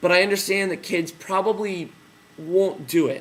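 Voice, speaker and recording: The man speaks loudly. His pitch is high. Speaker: teacher trainer. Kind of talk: tutorial. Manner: casual with fillers.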